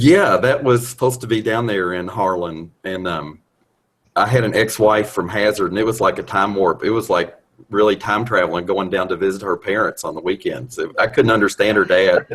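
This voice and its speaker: With a Kentucky accent, the voice moves at a fairly quick pace with ordinary pitch variation. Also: man, fairly low pitch for a man. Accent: Kentucky Southern. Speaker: video chat participant. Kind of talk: casual chat.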